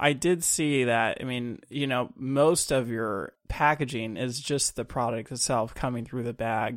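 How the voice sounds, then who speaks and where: A man's plain, everyday voice at medium pitch, fairly slow and with fairly even intonation. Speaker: podcast host. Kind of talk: interview, conversational.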